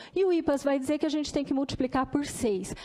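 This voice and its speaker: The speaker is a woman. Her pitch is high. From Brazil, Campinas. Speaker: dentist and public health researcher. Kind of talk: formal presentation at a hearing.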